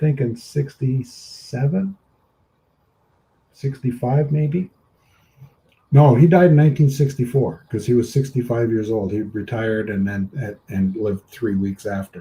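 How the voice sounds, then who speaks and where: Here a man speaks fairly slowly at a medium pitch, somewhat breathy, with a dark, mellow tone. His loudness swings widely while his pitch varies in an ordinary way. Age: 60s. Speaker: live stream host. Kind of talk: casual chat.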